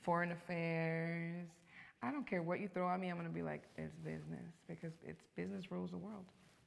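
The speech moves at a fairly quick pace. It carries a Los Angeles accent. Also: woman. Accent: Los Angeles American English. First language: Spanish. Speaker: actress. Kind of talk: casual interview. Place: studio.

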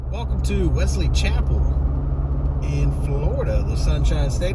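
At a fairly slow pace, the speech comes through dry with no echo over loud background noise. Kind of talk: casual drive-along commentary. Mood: relaxed, friendly. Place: car. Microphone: phone near.

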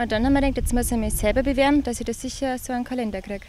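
A woman speaks very fast at a high pitch with monotone, flat intonation, the sound dry with no echo and light background noise. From Upper Palatinate, Bavaria, Germany. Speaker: nurse and calendar model from a farming family. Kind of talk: interview answer. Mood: relaxed, slightly shy. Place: farm machine. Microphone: handheld.

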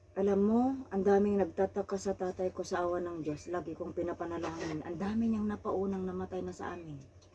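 Over noticeable background noise, a woman at a medium pitch talks at a fairly quick pace with fairly even intonation. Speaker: OFW domestic worker. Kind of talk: casual chat. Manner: loud.

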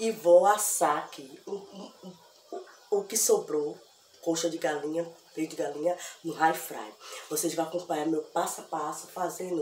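Over light background noise and audible room echo, a woman talks at a fairly slow pace with fairly even intonation. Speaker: home cooking vlogger. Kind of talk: casual vlog chat. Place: kitchen.

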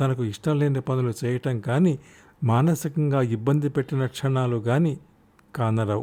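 The pitch varies in an ordinary way in this plain reading aloud.

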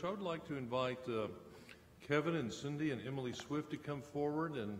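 A man talks at a fairly quick pace in a medium pitch, with ordinary pitch variation. Audible echo from the room surrounds his voice.

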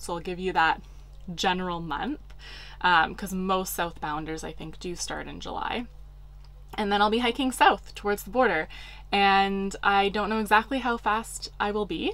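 A woman speaks at a moderate pace with ordinary pitch variation. Her loudness swings widely. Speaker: hiking vlogger. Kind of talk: casual vlog chat. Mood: excited, upbeat. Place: home room.

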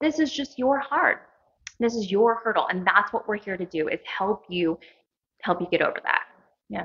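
With an American accent, a woman talks at a moderate pace in a fairly high pitch, her intonation lively and her speech broken by long, frequent pauses against a quiet background. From US Midwest. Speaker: clinic co-owner; interviewee. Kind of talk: casual interview. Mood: warm, encouraging. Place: meeting room. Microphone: handheld.

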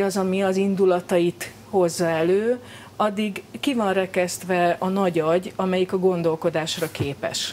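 Over light background noise, a woman talks at a fairly slow pace and medium pitch with ordinary pitch variation. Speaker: psychologist. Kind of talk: interview answer. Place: studio.

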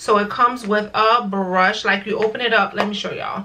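A woman at a moderate pace with fairly even intonation, light background noise behind her. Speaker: beauty vlogger. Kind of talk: casual vlog chat. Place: home room.

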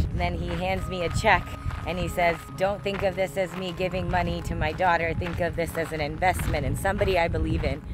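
Noticeable background noise surrounds a woman talking at a fairly quick pace. The sound is dry, with no echo. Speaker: vlogger. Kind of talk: casual vlog chat. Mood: warm, storytelling. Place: open country. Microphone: phone near.

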